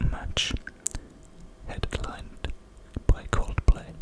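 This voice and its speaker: Someone is whispering at a very slow pace over noticeable background noise. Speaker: ASMR creator. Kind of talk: whispered ASMR facts reading. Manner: whispered; close-up whisper.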